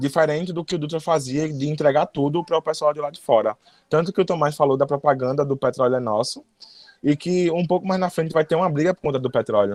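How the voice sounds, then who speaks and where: Very fast speech from a man with a fairly high voice, recorded dry and close with no echo. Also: ordinary pitch variation. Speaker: history teacher. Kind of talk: lecture. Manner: sometimes stumbles over words.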